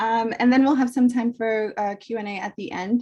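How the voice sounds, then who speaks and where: A woman speaks with a fairly high pitch and a somewhat breathy quality. Her tone is dark and mellow. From immigrant to the US, arrived 1990 as a child. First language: Spanish. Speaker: professor and author. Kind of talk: book talk presentation.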